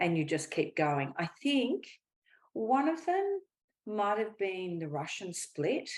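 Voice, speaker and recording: At a very slow pace, a woman with a medium pitch speaks with very wide pitch swings. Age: 60s. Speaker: pole dance champion. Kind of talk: interview. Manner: hesitant, with fillers.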